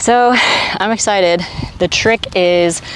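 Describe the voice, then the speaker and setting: The speaker's pitch varies in an ordinary way, and there is noticeable background noise. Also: woman. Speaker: fitness vlogger. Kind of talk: vlog. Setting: gym. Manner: casual, animated.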